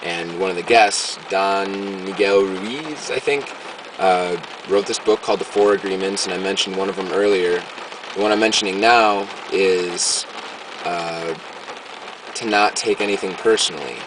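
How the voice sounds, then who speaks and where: Amid noticeable background noise, a man with a fairly low pitch talks at a moderate pace with fairly even intonation and long, frequent pauses. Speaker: video diarist. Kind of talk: video diary. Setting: in a car. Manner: halting.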